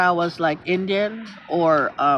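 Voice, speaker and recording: Over music in the background, a woman speaks in an animated tone with ordinary pitch variation. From Philippines. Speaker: livestreamer. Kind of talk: casual chat.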